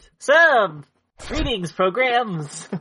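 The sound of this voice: A squeaky, put-on character voice that sounds female sits at a fairly high pitch and moves through very wide pitch swings.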